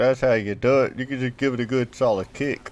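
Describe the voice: A man's slightly mellow voice at medium pitch, with ordinary pitch variation and a fairly quick pace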